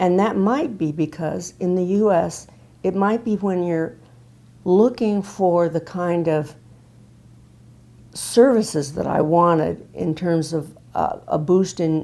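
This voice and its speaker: A woman speaks very slowly with long, frequent pauses, her fairly low voice dark and mellow in tone, with ordinary rises and falls in pitch. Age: 70s. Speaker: patient giving testimonial, retired speech pathologist. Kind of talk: testimony.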